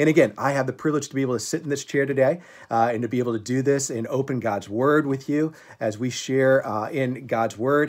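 A man speaks at a fairly quick pace. His intonation stays fairly even. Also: quiet background. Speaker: pastor. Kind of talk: devotional talk to a congregation. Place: home room. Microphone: phone near.

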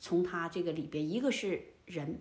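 At a fairly slow pace, a woman speaks with a fairly low pitch. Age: 60s. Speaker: elderly lifestyle vlogger. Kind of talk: casual monologue to camera. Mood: indignant, storytelling. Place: home room.

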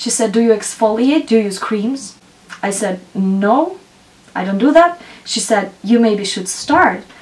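A woman with lively intonation talks at a fairly slow pace. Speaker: beauty vlogger. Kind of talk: casual vlog chat. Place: home room.

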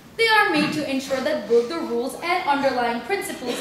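Over light background noise and audible room echo, a woman talks in a high pitch with lively intonation. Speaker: debate chair. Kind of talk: formal announcement of rules. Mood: playful, formal. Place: classroom. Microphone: camera far.

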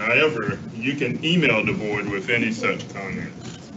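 Over noticeable background noise, the speaker goes at a moderate pace with ordinary pitch variation. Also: man. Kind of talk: reading a formal statement. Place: hall.

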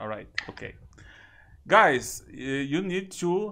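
A very slow voice in a Brazilian accent, with a bright, sharp tone and very wide pitch swings. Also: man. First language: Portuguese. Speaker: YouTuber and English learner; YouTuber. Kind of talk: casual chat. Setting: video call. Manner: excitable.

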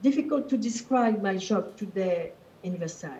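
A woman's somewhat breathy, dark and mellow voice with a French accent, fairly high pitch, and ordinary pitch variation. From France. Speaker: museum director. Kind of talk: panel introduction. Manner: halting. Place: office. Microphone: video call.

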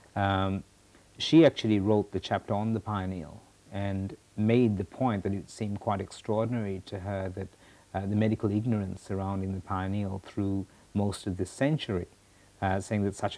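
A man talks at a moderate pace in a low, dark, mellow voice. His pitch moves little.

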